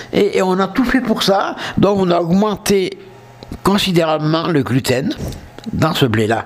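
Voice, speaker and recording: A man's high-pitched voice at a very slow pace, with lively intonation, long, frequent pauses and noticeable background noise. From southern France. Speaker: podcast host. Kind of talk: casual monologue. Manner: hesitant.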